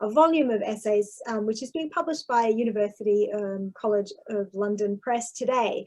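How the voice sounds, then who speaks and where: With an Australian accent, a woman speaks at a moderate pace in a fairly high voice, with ordinary pitch variation and hardly any pauses. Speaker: professor, event host. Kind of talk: conversational interview.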